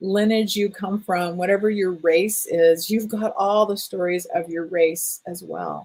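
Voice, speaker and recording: This woman has a normal speaking voice at a medium pitch. She talks at a fairly slow pace. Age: 60s. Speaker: energy healing teacher. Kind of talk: online workshop talk.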